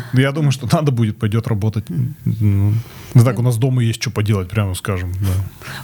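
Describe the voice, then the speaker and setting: Somewhat breathy and dark, mellow in tone, a man speaks at a medium pitch and a moderate pace with ordinary pitch variation. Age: 40s. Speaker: corporate manager, former musician. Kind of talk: casual chat. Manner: halting.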